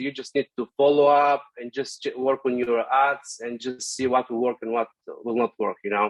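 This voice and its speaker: A man talks with ordinary pitch variation in a dry, close sound with no echo. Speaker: digital ads specialist. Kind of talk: tutorial. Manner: fast; hesitant with many fillers.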